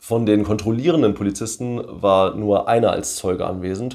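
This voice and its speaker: A man is talking. His pace is moderate and the background is quiet. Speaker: video creator commenting on his court case. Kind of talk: commentary reading a document aloud. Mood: wry, mildly amused. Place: home room.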